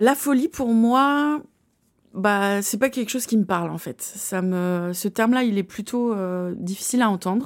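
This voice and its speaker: A woman speaks at a fairly slow pace in an unremarkable speaking voice. Her pitch is fairly high, with ordinary pitch variation. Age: 30s. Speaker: author and slam poet. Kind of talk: interview.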